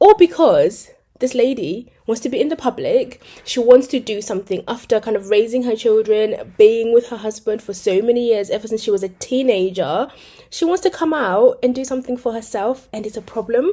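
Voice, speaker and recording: A woman speaks fairly quickly with a British accent and a dark, mellow tone. Her pitch is fairly high, with ordinary variation. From Britain. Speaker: commentary youtuber. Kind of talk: casual video commentary. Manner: chatty, hesitant fillers.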